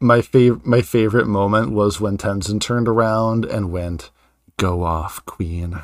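A man's plain, everyday voice at fairly low pitch, fairly slow pace and ordinary pitch variation, on a very clean recording with a silent background. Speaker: podcast host and author. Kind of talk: casual chat.

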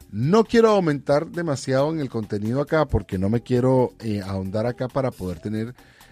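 A man is speaking. Music plays in the background. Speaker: podcast host. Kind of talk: casual monologue.

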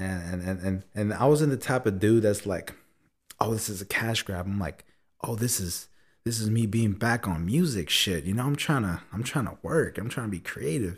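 Over a very clean recording with a silent background, a man speaks at a moderate pace in a fairly low, somewhat breathy voice with lively intonation. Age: 20s. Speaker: guest on a podcast. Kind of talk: casual chat.

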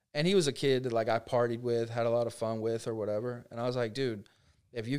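This man has an American accent and a medium pitch. He talks very fast with fairly even intonation. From Central Florida. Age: 20s. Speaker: real estate agent. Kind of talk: casual interview.

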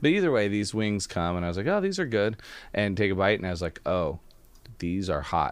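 This man has an unremarkable speaking voice, fairly low in pitch with ordinary variation. He speaks at a fairly quick pace in a quiet background. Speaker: podcast host. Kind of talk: casual chat.

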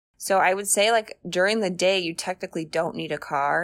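A woman with an American accent and vocal fry, at a moderate pace, on a very clean recording with a silent background. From Arizona, US. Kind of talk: casual interview.

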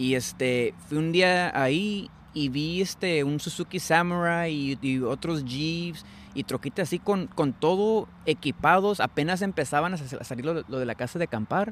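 Heard on a very clean recording with a silent background, a man with a fairly high pitch talks at a fairly slow pace with ordinary pitch variation. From US, San Francisco Bay Area. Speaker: entrepreneur, trailer maker. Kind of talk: casual interview. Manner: hesitant, many fillers.

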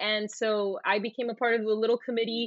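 Moderate-paced speech in a Puerto Rican accent. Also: woman. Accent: Puerto Rican-tinged American English. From Puerto Rico. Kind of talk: interview.

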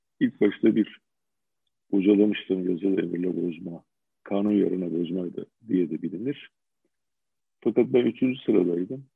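Pausing long and often, a man with a very deep, low pitch and ordinary pitch variation speaks at a moderate pace. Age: 60s. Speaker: retired judge. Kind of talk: interview. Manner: halting, many fillers.

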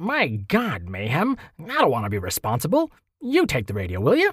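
In a very clean recording with a silent background and a dry, close sound with no echo, a man puts on a character voice at a fairly high pitch and a moderate pace. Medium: read story. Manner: gruff, then nervous and frightened.

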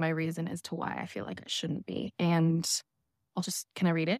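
A woman's fairly low voice with an American accent. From US Pacific Northwest, Seattle. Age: 30s. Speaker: podcast guest telling personal story. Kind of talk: personal testimony.

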